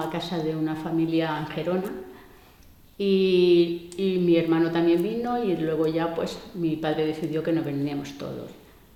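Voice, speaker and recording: Amid noticeable background noise and audible room echo, a woman speaks fairly slowly in a fairly low voice. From Andalusia (Córdoba province). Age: 60s. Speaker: migrant interviewee. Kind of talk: interview. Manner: hesitant, with many fillers.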